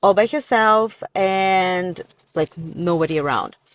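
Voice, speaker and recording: With a Russian accent, a woman speaks at a medium pitch in a dry, close sound with no echo. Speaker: content creator. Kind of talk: casual social media monologue.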